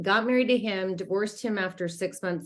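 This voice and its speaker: In an American accent, a woman talks at a fairly quick pace in an ordinary speaking voice with ordinary pitch variation. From Utah, US. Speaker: life coach. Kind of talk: interview testimony.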